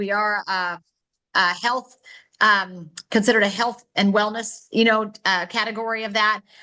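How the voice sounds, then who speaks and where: Her voice is fairly high in pitch for a woman, bright and sharp in tone, with monotone, flat intonation. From North Dakota, US Midwest. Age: 40s. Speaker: wellness product distributor and presenter. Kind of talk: online product presentation. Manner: fast.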